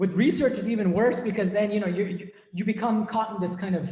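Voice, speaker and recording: In an American accent, a man talks in a high voice with ordinary pitch variation, and the room echo is audible. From US, Boston area. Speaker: monk and philosophy professor. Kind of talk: academic discussion Q&A. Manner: hesitant, repeats words.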